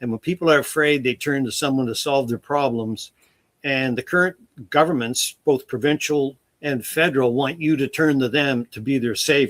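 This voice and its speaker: This man has a normal speaking voice with fairly high pitch and fairly even intonation. He talks at a moderate pace, and the sound is dry and close with no echo. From Nova Scotia, Canada. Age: 60s. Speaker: retired wildfire investigator and author. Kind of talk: interview.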